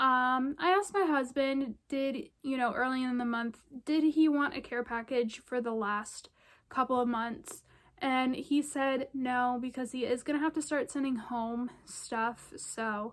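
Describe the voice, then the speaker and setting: Recorded very cleanly with a silent background, a woman speaks at a high pitch with ordinary variation. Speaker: vlogger, military spouse. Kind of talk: casual vlog update. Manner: many filler ums.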